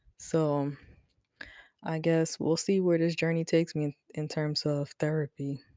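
In a dry, close sound with no echo, a woman with a very deep, low pitch and a dark, mellow tone talks at a moderate pace in monotone, flat intonation, with long, frequent pauses. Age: 20s. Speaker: podcast host and mother. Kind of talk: casual solo talk. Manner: informal, many fillers.

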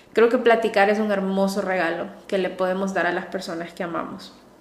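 Audible room echo surrounds a woman whose voice sits at a medium pitch. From Honduras, coastal city. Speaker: psychologist and podcast host. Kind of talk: solo podcast monologue. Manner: warm, enthusiastic.

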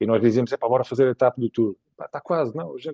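Dry and close with no echo, the sound carries a man's normal speaking voice. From Portugal, Évora (Alentejo). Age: 40s. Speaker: ultra-endurance cyclist. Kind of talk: casual interview.

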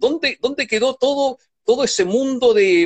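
A man is speaking. His pitch swings very widely. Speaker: philosopher and writer. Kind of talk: interview conversation. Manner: halting.

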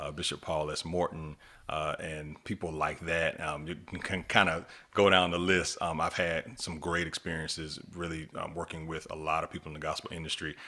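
A man's very deep, low voice with a bright, sharp tone, monotone, flat intonation and a moderate pace. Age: 40s. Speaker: gospel music producer and worship director. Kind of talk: casual interview chat. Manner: halting, many fillers.

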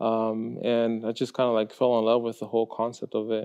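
Here a man speaks with a Spanish accent at a moderate pace. His intonation is monotone and flat. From Mexico, Guadalajara; moved to Texas at age seven. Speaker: high school art teacher. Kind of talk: interview. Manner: hesitant, many fillers.

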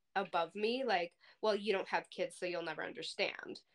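With lively intonation, a woman speaks. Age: 30s. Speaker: podcast co-host; healthcare worker. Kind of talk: casual chat.

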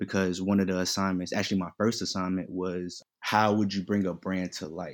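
On a very clean recording with a silent background, a man with a very deep, low pitch speaks at a fairly quick pace in a monotone, flat intonation. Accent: American. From Queens, New York; teen years in North Carolina. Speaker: fashion entrepreneur and student. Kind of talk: casual chat.

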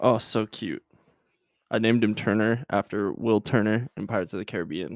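Recorded very cleanly with a silent background and a dry, close sound with no echo, a man speaks fairly quickly with fairly even intonation. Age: 20s. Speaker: podcast host, aspiring medical student. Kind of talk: casual solo podcast monologue; scripted educational talk. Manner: hesitant, many fillers.

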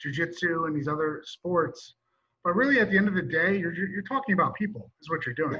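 Music plays in the background as a man talks at a fairly quick pace. His pitch is high, with ordinary variation. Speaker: podcast host. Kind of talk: interview conversation.

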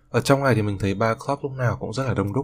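A somewhat breathy voice in a Hanoi accent at a very fast pace, in a very clean recording with a silent background. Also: man. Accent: Northern Vietnamese (Hanoi). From northern Vietnam, Hanoi. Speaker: student podcaster. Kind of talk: personal monologue podcast.

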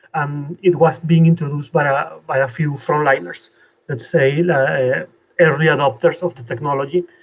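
Delivered at a moderate pace in a Spanish accent, the somewhat breathy voice keeps a fairly even intonation but shows big swings in loudness. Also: man, fairly high pitch for a man. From Venezuela. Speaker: technical artist. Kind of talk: interview. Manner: halting, with many fillers.

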